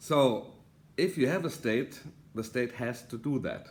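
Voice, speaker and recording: In a German accent, a man speaks at medium pitch. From Germany. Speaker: political author and commentator. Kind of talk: video monologue. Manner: halting, many fillers.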